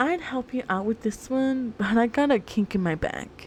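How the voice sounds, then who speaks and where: Raspy and hoarse, a put-on character voice moves at a moderate pace with lively intonation. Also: woman, fairly high pitch for a woman. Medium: virtual streamer. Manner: casual, gruff.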